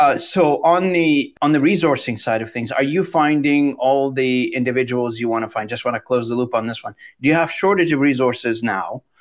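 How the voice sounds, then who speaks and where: A man speaks in a normal speaking voice at a fairly quick pace, fairly high in pitch, with ordinary pitch variation and hardly any pauses. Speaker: podcast host. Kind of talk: interview conversation.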